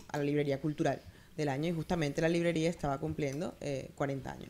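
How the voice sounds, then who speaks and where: Her intonation fairly even, a woman speaks. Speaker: writer and book critic. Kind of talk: book presentation speech.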